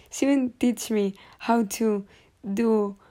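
This woman has a fairly high pitch, a dark, mellow tone and fairly even intonation. The recording is very clean with a silent background. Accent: Spanish. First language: Spanish. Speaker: podcaster. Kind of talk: casual monologue. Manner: halting, many fillers.

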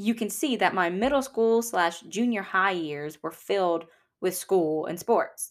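A woman with a Southern US accent, animated and lively in intonation, at a medium pitch and fairly slow pace, on a very clean recording with a silent background. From Louisiana. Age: 20s. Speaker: podcast host. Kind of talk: personal storytelling monologue. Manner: chatty, animated.

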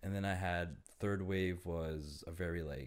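A man with a Toronto accent and a very deep, low pitch, with ordinary pitch variation, on a very clean recording with a silent background. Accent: Canadian (Toronto). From Toronto, Canada. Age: 30s. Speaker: photographer. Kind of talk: casual chat. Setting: studio.

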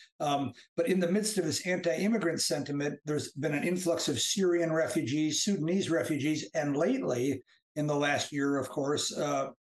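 With very even loudness, a man talks at a moderate pace in a fairly high pitch with ordinary pitch variation. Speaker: author and English professor. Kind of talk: casual chat. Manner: halting.

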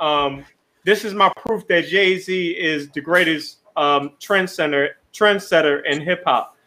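In a raised, projected voice, a man speaks fairly slowly at a high pitch, his tone bright and sharp and his pitch variation ordinary. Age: 20s. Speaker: podcast co-host. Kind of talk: casual chat. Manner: animated.

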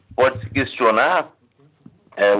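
A man's bright, sharp tone at a fairly slow pace. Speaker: political scientist. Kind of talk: radio interview.

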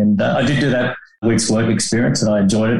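Audible room echo surrounds a fast delivery with little pitch movement and a slightly mellow tone. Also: man.

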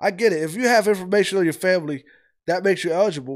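Lively in intonation, a man with an American accent speaks on a very clean recording with a silent background. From US Midwest (Ohio). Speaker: YouTube reaction commentator. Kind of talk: reaction video commentary. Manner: halting, frequent repetitions and restarts.

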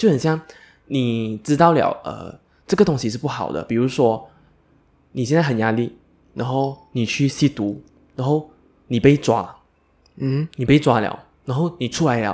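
Moderate pace with long, frequent pauses and ordinary pitch variation, in a very clean recording over a silent background. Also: man, medium pitch for a man. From Malaysia. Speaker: podcast co-host. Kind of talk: casual chat.

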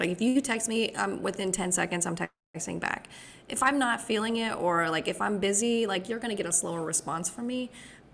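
A woman's ordinary speaking voice, lively in intonation and at a fairly quick pace. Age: 20s. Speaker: podcast co-host. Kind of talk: casual chat. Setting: video call.

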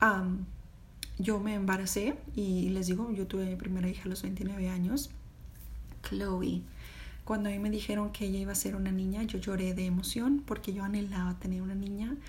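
A woman's medium-pitched, somewhat breathy voice in a Mexican accent, moderate in pace and fairly even in intonation, with audible room echo. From Mexico. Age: 30s. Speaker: podcast host. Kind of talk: personal storytelling monologue. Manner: halting, many fillers.

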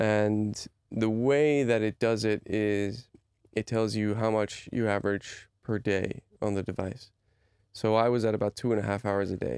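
Recorded very cleanly against a silent background, a man speaks at a fairly slow pace with fairly even intonation and very even loudness. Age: 30s. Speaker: podcast host. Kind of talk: casual chat. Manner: halting.

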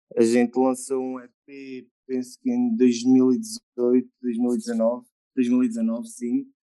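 A man speaks at a very slow pace in a medium pitch, with a dark, mellow tone. His intonation stays fairly even while his loudness swings widely. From Murça, northern Portugal. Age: 20s. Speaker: musician and composer. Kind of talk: casual chat.

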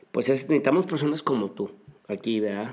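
With lively intonation and a medium pitch, a man talks in a plain, everyday voice. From northern Mexico, Monterrey area. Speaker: marketing and PR consultant. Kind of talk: interview.

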